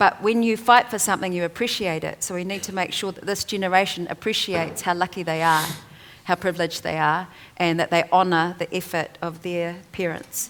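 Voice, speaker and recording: At a fairly quick pace, a woman with a New Zealand accent speaks with fairly even intonation. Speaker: author and te reo Māori advocate. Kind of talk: panel discussion.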